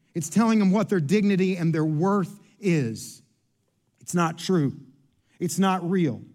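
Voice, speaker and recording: The speech comes at a fairly slow pace, broken by long, frequent pauses, with audible room echo. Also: man, high pitch for a man, ordinary pitch variation. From Kentucky. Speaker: pastor. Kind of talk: sermon.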